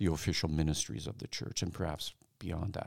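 Vocal fry marks this man's speech, captured in a very clean recording with a silent background. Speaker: interviewer and author. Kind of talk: interview conversation.

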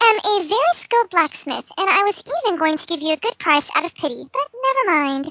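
Someone performs a put-on character voice at an extremely high pitch and a fairly quick pace. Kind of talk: proud, affronted. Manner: haughty.

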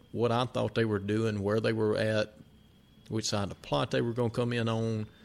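A man with a Mississippi accent talks at a fairly quick pace. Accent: Southern US (Mississippi). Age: 40s. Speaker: podcast co-host. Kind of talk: casual chat.

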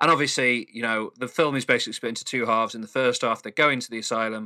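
A bright, sharp tone comes at a very fast pace, recorded dry and close with no echo. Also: man. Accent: Mancunian. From Manchester, England. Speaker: podcast co-host. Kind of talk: casual chat. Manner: calm.

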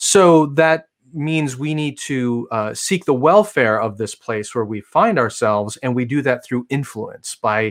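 In a very clean recording with a silent background, a man with a plain, everyday voice speaks at a moderate pace with ordinary pitch variation. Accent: American. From US Midwest, Chicago area. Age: 40s. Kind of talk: interview.

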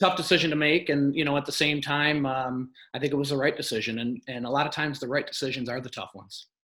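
Speaking very fast with hardly any pauses, this man has an American accent and a fairly high pitch. His tone is bright and sharp, and his intonation stays fairly even. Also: big swings in loudness. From Michigan. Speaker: real estate investor. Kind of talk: interview. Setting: live stream. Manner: halting, many fillers.

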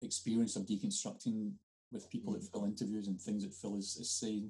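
A man speaks with a Scottish accent at a medium pitch. His dark, mellow tone carries monotone, flat intonation. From Scotland. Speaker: podcast host. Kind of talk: casual interview chat.

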